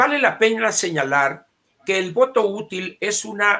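Very wide pitch swings in a man's bright, sharp tone. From Sonora, Mexico. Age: 70s. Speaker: political commentator. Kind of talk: casual chat.

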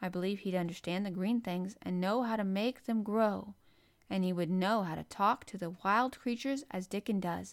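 An unforced reading voice comes through with ordinary pitch variation.

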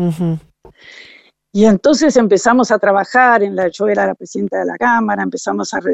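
A woman's medium-pitched voice with vocal fry and ordinary pitch variation. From Uruguay (Montevideo) and Entre Ríos, Argentina. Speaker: rancher and widowed mother. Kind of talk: interview. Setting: phone call.

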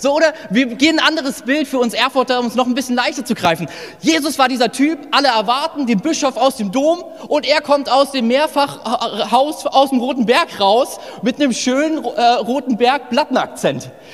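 Noticeable background noise sits behind a man speaking at a moderate pace. His pitch is extremely high, and he has a slight northern Hessian accent. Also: ordinary pitch variation. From northern Hesse, Germany. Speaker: pastor. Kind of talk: sermon. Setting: church service with live audience. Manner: casual, animated.

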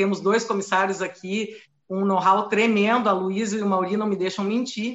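A woman at a medium pitch with a regional Brazilian accent. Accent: noticeable regional Brazilian. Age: 40s. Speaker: flight attendant. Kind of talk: live stream interview.

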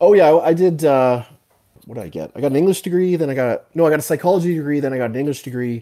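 Talking at a very fast pace with a Canadian accent, a man shows very wide pitch swings and a dark, mellow tone. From Canada. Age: 40s. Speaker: fitness coach and writer. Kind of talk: casual interview.

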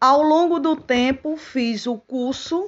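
With a Paraíba accent, a woman speaks at a very slow pace. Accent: northeastern Brazilian Portuguese (Paraíba). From Paraíba, northeastern Brazil. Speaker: teacher. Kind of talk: personal testimony. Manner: formal.

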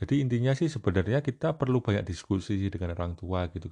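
A man's voice over a quiet background. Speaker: university academic. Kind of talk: casual chat.

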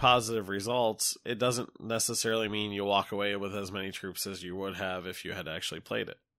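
With an American accent, a man talks at a fairly quick pace in an ordinary speaking voice, on a very clean recording with a silent background. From United States. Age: 30s. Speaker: video game reviewer. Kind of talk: solo review monologue.

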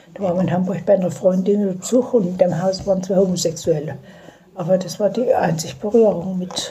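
With audible room echo and noticeable background noise, a woman at a medium pitch talks fairly quickly in a fairly even intonation. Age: 70s. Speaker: grandmother interviewed by granddaughter. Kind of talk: casual chat. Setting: dining room at home. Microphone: phone recording, poor quality.

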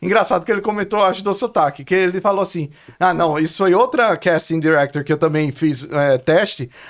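A man with a Brazilian accent speaks at a fairly quick pace and a high pitch. His pitch varies in an ordinary way, and the recording is very clean with a silent background. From Brazil, Pernambuco (Olinda/Recife). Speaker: filmmaker and author. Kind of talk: casual interview chat. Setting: studio.

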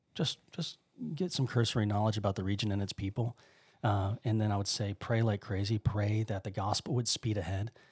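On a very clean, dry, close recording with no echo and a silent background, a man with a fairly low, somewhat breathy voice speaks at a fairly quick pace with fairly even intonation. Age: 30s. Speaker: missionary. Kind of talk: casual chat. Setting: studio.

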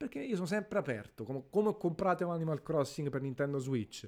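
Over a silent background in a very clean recording, a man speaks at a very fast pace with lively intonation. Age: 30s. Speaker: gaming podcaster. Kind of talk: casual monologue.

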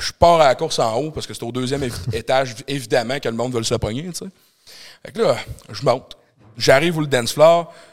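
A man speaks fairly quickly at a medium pitch, with ordinary pitch variation. His loudness swings widely, and he takes long, frequent pauses. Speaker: doorman and entrepreneur. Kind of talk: casual chat. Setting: studio with live audience.

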